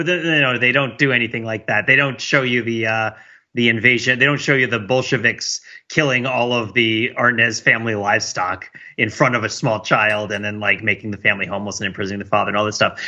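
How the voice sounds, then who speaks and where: At a fairly quick pace, a man with a medium pitch talks in an ordinary speaking voice, with ordinary pitch variation. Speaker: podcast panelist. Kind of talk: casual chat.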